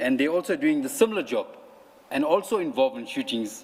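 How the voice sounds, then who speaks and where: A man with very wide pitch swings at a moderate pace. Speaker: police officer testifying at inquiry. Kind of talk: testimony.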